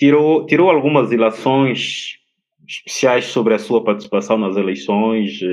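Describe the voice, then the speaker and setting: At a fairly slow pace, a man speaks with lively intonation in an unremarkable speaking voice. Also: medium pitch for a man. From São Tomé and Príncipe. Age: young. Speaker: TV interviewer. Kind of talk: interview.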